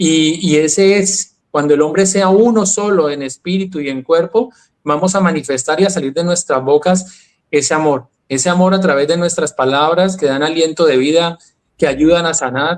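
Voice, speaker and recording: At a moderate pace, a man speaks in a high pitch with ordinary pitch variation. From Colombia. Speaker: health and wellness speaker. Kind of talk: interview conversation.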